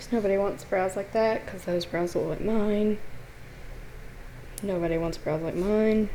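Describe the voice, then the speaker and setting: A woman mumbles at a moderate pace in a dark, mellow tone, with long, frequent pauses and audible room echo. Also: medium pitch for a woman, fairly even intonation. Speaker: art tutorial channel host. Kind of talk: tutorial. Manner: casual, mumbling.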